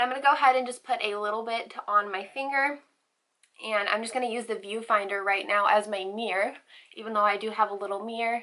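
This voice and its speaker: A woman talks very fast at a fairly high pitch, her intonation fairly even. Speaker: beauty YouTuber. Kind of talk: makeup tutorial.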